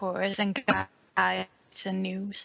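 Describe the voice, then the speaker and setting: A woman speaks with a Dutch accent at a medium pitch. The sound is dry and close, with no echo. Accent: noticeable Dutch. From Netherlands. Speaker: fan website owner and writer. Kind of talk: interview.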